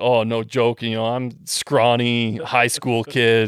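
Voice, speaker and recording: With a Western Canadian accent, a man talks at a medium pitch. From Western Canada. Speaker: gun and parts designer. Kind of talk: casual chat.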